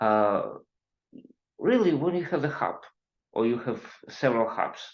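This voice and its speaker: With audible room echo, a man talks at a moderate pace, his fairly high pitch carried by lively intonation. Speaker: IT consultant and webinar presenter. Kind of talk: technical webinar lecture. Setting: online webinar. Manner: halting, many fillers.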